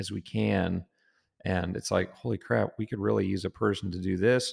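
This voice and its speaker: A man's fairly low voice with an American accent in a very clean recording with a silent background. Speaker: agriculture business co-owner and podcast co-host. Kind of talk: casual chat. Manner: animated.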